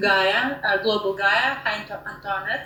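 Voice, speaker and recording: Audible room echo and noticeable background noise accompany a woman speaking with a Russian accent. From Russia, Moscow. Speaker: online discussion moderator. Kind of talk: moderated group discussion. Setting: online audio room. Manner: halting, many fillers.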